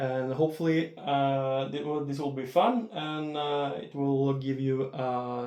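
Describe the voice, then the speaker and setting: A man with a Norwegian accent speaks at a fairly slow pace. His pitch is fairly high, and his tone is dark and mellow. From Norway. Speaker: disc golf unboxing youtuber. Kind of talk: unboxing video. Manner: halting, many filler words.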